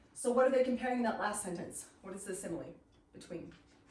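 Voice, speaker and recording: A woman speaks in a medium pitch with lively intonation. Audible room echo and noticeable background noise fill the clip. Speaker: literature teacher. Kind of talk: lecture. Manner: fast; animated.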